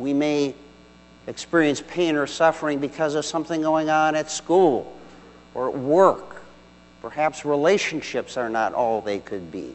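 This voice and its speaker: The pace here is fairly slow. It's an unremarkable speaking voice, with ordinary pitch variation. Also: man, fairly high pitch for a man. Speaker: deacon. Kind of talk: homily. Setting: church. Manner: formal; measured, earnest.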